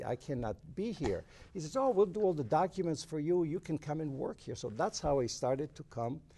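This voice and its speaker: Over a quiet background, a man's fairly high, somewhat breathy voice, dark and mellow in tone, moves at a fairly quick pace with very wide pitch swings. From southern Italy. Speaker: salon and beauty school founder. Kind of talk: interview. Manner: halting.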